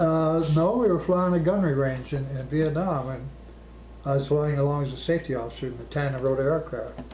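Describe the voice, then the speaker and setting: A man with an American accent speaks at a fairly quick pace, with audible room echo and noticeable background noise. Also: fairly high pitch for a man, ordinary pitch variation. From Arizona. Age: 80s+. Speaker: war veteran. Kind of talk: oral history interview.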